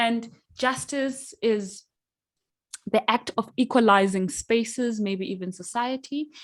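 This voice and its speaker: A woman speaks with a Zimbabwean accent at a very slow pace. Her pitch is fairly high, with ordinary pitch variation. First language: Shona. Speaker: workshop facilitator. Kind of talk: online workshop facilitation. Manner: hesitant, many fillers.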